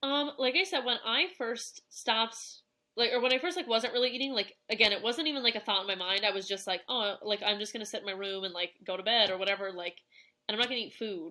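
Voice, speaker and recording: Bright and sharp in tone, the voice rushes along at a very fast pace with lively intonation. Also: woman, fairly high pitch for a woman. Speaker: coaching client sharing fitness journey. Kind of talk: podcast interview. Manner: casual, many fillers.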